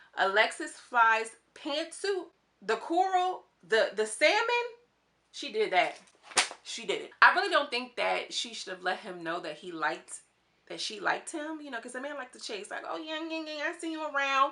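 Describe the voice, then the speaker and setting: A woman's high, bright, sharp voice, raised and projected, animated in tone, with very wide pitch swings and big jumps in loudness. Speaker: YouTube TV commentator. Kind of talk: casual reality show commentary. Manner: fast.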